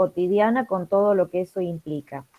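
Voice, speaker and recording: A woman speaks at a fairly slow pace with fairly even intonation. It is a plain, everyday voice. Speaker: moderator reading audience comments. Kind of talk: reading aloud audience comments in online conference.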